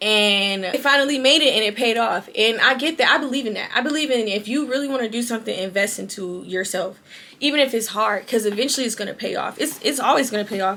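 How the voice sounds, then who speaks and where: Very fast and bright with a sharp tone, a woman talks at a fairly high pitch. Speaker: podcast host. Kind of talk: casual monologue to camera. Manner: informal, rambling, self-correcting.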